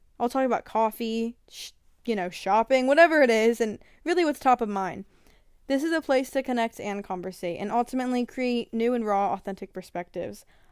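Heard in a very clean recording with a silent background, a woman speaks at a fairly high pitch with ordinary pitch variation. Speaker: podcast host. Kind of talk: solo podcast trailer. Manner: halting, many fillers; improvised.

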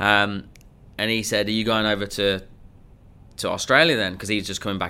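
A man with an English accent, fairly low in pitch, with a bright, sharp tone. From England. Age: 30s. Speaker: sales coach. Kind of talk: interview.

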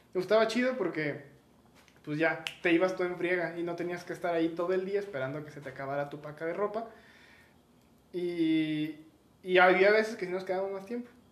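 Speaking at a fairly quick pace yet with long, frequent pauses, a man with a Mexican accent uses a high pitch and ordinary pitch variation, with audible room echo and noticeable background noise. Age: 20s. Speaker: podcast co-host. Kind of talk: casual chat.

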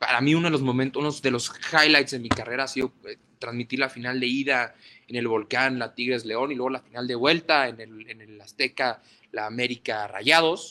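Bright and sharp in tone, a man speaks at a medium pitch. His pace is fairly quick and his intonation fairly even. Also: big swings in loudness. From northern Mexico, Ciudad Juárez. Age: 20s. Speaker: sports journalist. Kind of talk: interview. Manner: halting, many repetitions and fillers.

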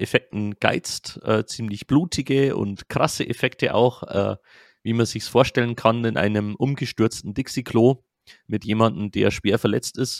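A man speaks very slowly. The sound is dry and close with no echo, on a very clean recording with a silent background. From Lower Bavaria, Germany. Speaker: film podcast host. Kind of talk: casual chat.

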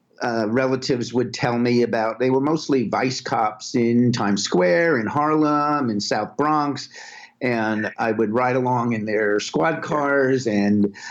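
A man with an American accent speaks at a fairly slow pace, his medium pitch moving with ordinary variation. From Brooklyn, New York. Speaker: music video director. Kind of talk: interview.

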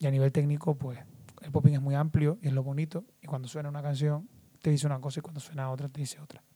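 A man with a fairly high pitch, a dark, mellow tone and a somewhat breathy sound talks at a very fast pace, his intonation fairly even but his loudness swinging widely. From Canary Islands, Lanzarote. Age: 20s. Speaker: dancer and dance teacher. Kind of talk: casual interview chat.

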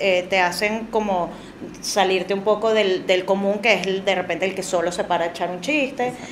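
A woman speaks at medium pitch and a moderate pace with fairly even intonation. Noticeable background noise and audible room echo are present. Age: 30s. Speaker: comedian. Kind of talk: casual chat.

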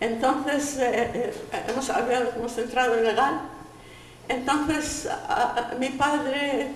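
A high-pitched woman amid noticeable background noise and audible room echo. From Poland. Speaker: Holocaust survivor and Yiddish translator. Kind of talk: testimony. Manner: halting.

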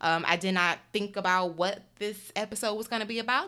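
With an American accent, a woman speaks at a medium pitch in a bright, sharp tone with ordinary pitch variation. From US Midwest (Detroit). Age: 30s. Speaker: podcast host and YouTuber. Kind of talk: casual solo monologue. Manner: rambling, chatty.

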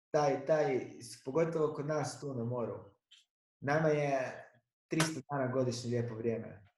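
A somewhat breathy man at a fairly slow pace, with fairly even intonation and audible room echo. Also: fairly high pitch for a man. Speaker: podcast host, stand-up comedian. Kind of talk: casual chat.

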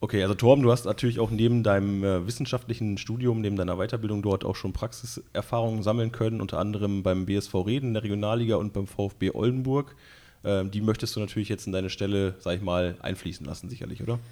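A man speaks at a very fast pace and a fairly low pitch. His tone is dark and mellow, and his intonation fairly even. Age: 30s. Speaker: club podcast host. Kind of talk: casual interview.

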